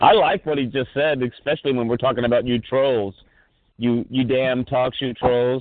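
A man's plain, everyday voice at medium pitch, moderate pace and fairly even intonation. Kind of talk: heated argument on community call. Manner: confrontational.

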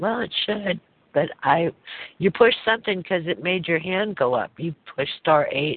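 Lively intonation at a fairly slow pace in a normal speaking voice. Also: woman. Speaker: call-in show host. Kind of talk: casual chat hosting a conference call. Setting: phone call.

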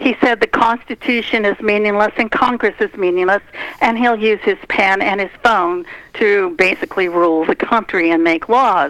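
With noticeable background noise behind her, a woman speaks at a moderate pace and medium pitch, her loudness very even and her pitch variation ordinary. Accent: American. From United States. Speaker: political radio host and author. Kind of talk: political interview. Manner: animated.

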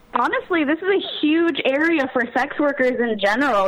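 A woman's high-pitched voice with an American accent, moderate pace, and ordinary pitch variation over noticeable background noise. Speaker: online content creator. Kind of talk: casual interview.

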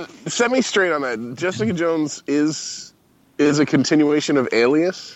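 A man with an American accent speaks at a moderate pace in an unremarkable speaking voice. His pitch is fairly high and his intonation lively. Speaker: podcast guest. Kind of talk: casual chat.

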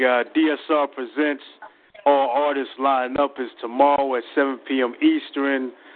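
Music plays in the background beneath a monotone voice with flat intonation. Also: man. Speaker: spoken word poet. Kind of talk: spoken word poetry performance.

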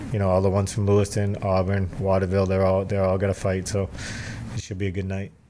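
Over noticeable background noise, a man with an American accent rattles on at a very fast pace in a fairly low, monotone, flat voice. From Massachusetts, Cape Cod. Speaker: amateur boxing coach and promoter. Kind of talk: casual interview.

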